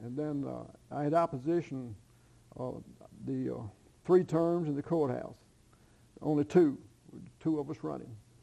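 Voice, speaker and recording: A man with a Kentucky accent, a dark, mellow tone and fairly high pitch, at a moderate pace, with big swings in loudness, ordinary pitch variation and long, frequent pauses. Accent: southern US, Kentucky. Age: 70s. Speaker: retired farmer and former county official. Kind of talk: interview.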